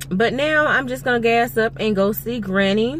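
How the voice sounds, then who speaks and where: Light background noise sits under a woman speaking at a fairly slow pace. Her tone is bright and sharp, and the sound is dry with no echo. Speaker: vlogger. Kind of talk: casual vlog chat. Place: car. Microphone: phone near.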